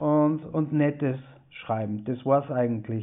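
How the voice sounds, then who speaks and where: This man talks at a fairly slow pace. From Austria, East Tyrol (Lienz). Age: 40s. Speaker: author. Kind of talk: interview. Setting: video call.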